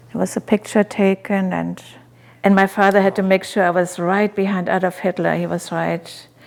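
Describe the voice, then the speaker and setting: In a very clean recording with a silent background, a woman speaks at medium pitch and a moderate pace in a monotone, flat way. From Germany. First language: German. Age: 80s+. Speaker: animal rights activist and author. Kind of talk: personal life story interview.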